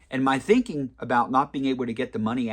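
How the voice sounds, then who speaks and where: Over a quiet background, a man with a medium pitch talks in a normal speaking voice with lively intonation. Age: 40s. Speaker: personal finance video creator. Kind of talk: casual advice monologue. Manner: conversational with fillers.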